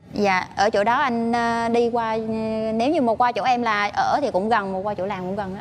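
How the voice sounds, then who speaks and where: This woman has a fairly high pitch and ordinary pitch variation. She speaks at a fairly quick pace over light background noise. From Quảng Nam, central Vietnam. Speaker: nurse, dating show contestant. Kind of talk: casual on-stage interview. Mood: polite, soft, slightly shy. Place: studio. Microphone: lapel.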